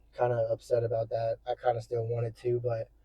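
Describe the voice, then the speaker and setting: Somewhat breathy, a man speaks at a medium pitch and moderate pace in a monotone, flat intonation. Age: 20s. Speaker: fitness vlogger. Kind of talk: casual vlog monologue. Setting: in a car. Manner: casual, rambling.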